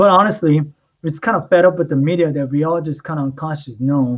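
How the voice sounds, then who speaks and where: A man with a Korean accent. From South Korea (Seoul), moved to US as a child. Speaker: model and stay-at-home dad. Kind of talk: podcast interview. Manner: casual, many fillers.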